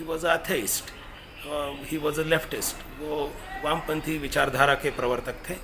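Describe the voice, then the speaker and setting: A man with a Marathi accent speaks in a flat monotone at a fairly high pitch, with audible room echo and noticeable background noise. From Maharashtra, India. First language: Marathi (speaking Hindi). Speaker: professor and activist speaker. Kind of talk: commemorative lecture. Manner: halting, with fillers.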